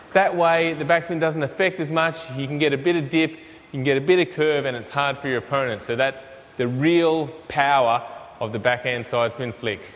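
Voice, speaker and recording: A man at a fairly high pitch and moderate pace, ordinary pitch variation, against noticeable background noise. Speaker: podcast host. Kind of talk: casual interview show presenting.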